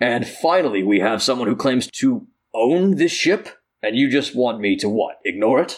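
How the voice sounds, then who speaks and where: A man puts on a character voice at a medium pitch and moderate pace, with very wide pitch swings. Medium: actual play. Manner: formal, authoritative.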